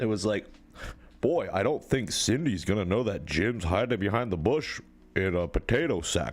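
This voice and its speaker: A man at fairly low pitch with a Pennsylvania accent, lively intonation and a moderate pace. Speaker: livestreamer. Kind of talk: casual live stream chat. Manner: animated.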